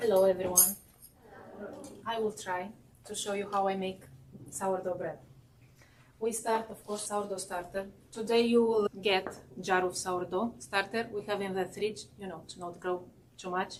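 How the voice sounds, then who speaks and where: Against noticeable background noise, a woman with a medium pitch talks at a moderate pace in a flat monotone, with long, frequent pauses and big swings in loudness. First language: not English. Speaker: baking instructor. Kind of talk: cooking demonstration. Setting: class with live audience. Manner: halting.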